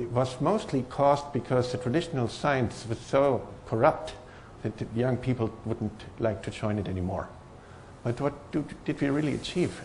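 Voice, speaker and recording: Somewhat breathy speech comes through with a strong German accent. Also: man. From Germany. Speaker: professor. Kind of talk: conference talk. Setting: stage with audience. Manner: hesitant, many fillers.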